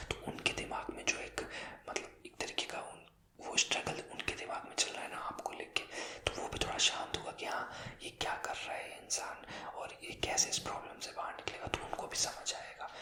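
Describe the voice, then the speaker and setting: A man whispers at a moderate pace, with big swings in loudness. Noticeable background noise can be heard. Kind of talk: ASMR talk to camera. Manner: whispered.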